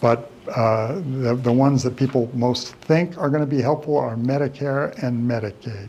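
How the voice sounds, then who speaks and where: The recording has noticeable background noise and audible room echo. A man speaks with ordinary pitch variation. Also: medium pitch for a man, moderate pace. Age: 70s. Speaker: elder law attorney. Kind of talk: lecture. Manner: casual, conversational with repetitions.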